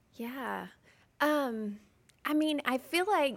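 A woman talks in a Southern US accent. Her intonation is lively. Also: very clean recording, silent background. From Mississippi. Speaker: stay-at-home mother. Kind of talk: testimony.

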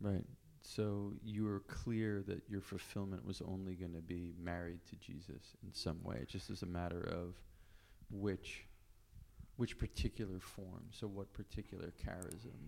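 A man's very deep, low pitch comes at a fairly slow pace with fairly even intonation. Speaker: podcast host. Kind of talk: interview. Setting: in person at a convent.

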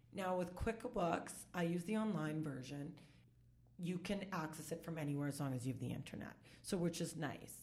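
Speaking at a moderate pace, a woman with a fairly low pitch and ordinary pitch variation comes through with audible room echo. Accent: Canadian. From Saskatchewan, Canada (Saskatoon). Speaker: bookkeeper and business consultant. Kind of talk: casual interview chat. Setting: in person across a boardroom table.

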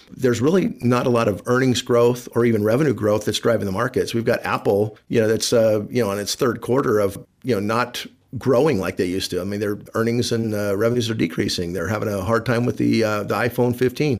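Speaking at a very fast pace with hardly any pauses, a man uses a medium pitch and fairly even intonation in a very clean recording with a silent background. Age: 60s. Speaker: financial planner, radio host. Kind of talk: casual radio talk. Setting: studio.

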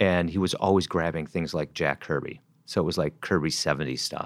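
Very deep and low, this man's voice has an American accent. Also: very clean recording, silent background. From US Midwest, Wisconsin. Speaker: writer and filmmaker. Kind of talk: interview. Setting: in-person interview. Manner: halting, repeats words.

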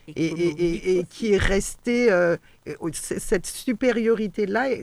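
Moving at a very slow pace, a woman speaks at medium pitch with ordinary pitch variation. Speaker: local councillor and teacher. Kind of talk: radio panel discussion. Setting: radio studio.

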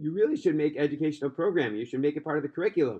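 With an American accent, a man speaks in a fairly high voice with vocal fry and lively intonation. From US Northeast (Brooklyn, New York). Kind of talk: storytelling with moral lesson. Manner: halting, many fillers.

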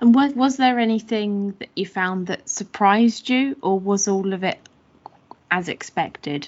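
A woman speaks in a normal speaking voice. Her pitch varies in an ordinary way. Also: medium pitch for a woman, fairly slow pace. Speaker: podcast host and researcher. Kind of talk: podcast interview.

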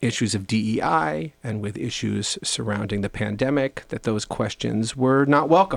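A man with an American accent and an unremarkable speaking voice talks at a fairly slow pace with lively intonation, on a very clean recording with a silent background. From New York, Long Island. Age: 40s. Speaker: rabbi. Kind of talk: interview conversation.

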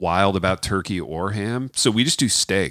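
A plain, everyday voice with ordinary pitch variation comes through in a dry, close sound with no echo. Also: man. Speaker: author and college writing teacher. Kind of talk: casual, joking interview. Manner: joking, rambling.

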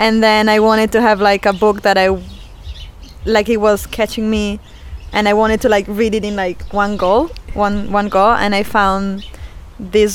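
A woman speaks at medium pitch in a monotone, flat intonation. She goes at a fairly slow pace with long, frequent pauses. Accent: Italian. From Italy. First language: Italian. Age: 30s. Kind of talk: casual interview. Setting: family lake house.

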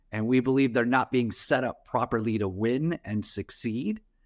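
On a very clean recording with a silent background, a man has a plain, everyday voice at a medium pitch. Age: 40s. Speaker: startup founder. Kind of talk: interview.

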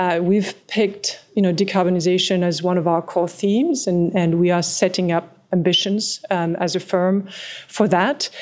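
A woman speaks with a French accent. Her intonation stays fairly even. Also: medium pitch for a woman, moderate pace, very even loudness. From France, small mountain village. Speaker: private equity partner. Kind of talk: interview.

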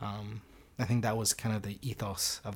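On a very clean recording with a silent background, a man with an American accent speaks at a moderate pace, fairly low in pitch, in a monotone with flat intonation. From US. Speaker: university student and organiser. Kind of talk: casual conversation, interview.

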